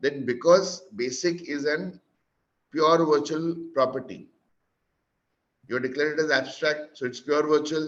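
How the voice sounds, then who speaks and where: A man with an Indian accent, a fairly high pitch, ordinary pitch variation, and long, frequent pauses. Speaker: programming instructor. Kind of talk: lecture. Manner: fast.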